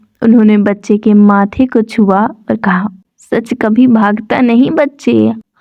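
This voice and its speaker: Soft-spoken and somewhat breathy, a woman talks with a fairly high pitch. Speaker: audiobook narrator. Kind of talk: sleep story. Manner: soft-spoken, slow.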